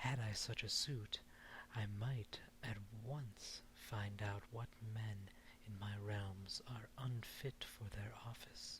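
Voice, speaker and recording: Soft-spoken delivery at a very slow pace. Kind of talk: fairy tale reading; ASMR.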